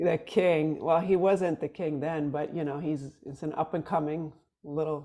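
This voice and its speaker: A woman with a very deep, low pitch and a dark, mellow tone speaks at a fairly slow pace with fairly even intonation. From Sweden. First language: Swedish. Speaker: musician. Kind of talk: casual chat.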